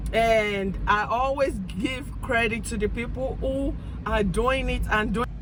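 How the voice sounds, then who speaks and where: A woman with an African accent at a fairly slow pace, with audible room echo and noticeable background noise. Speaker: vlogger. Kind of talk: casual monologue. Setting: in a car. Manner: halting.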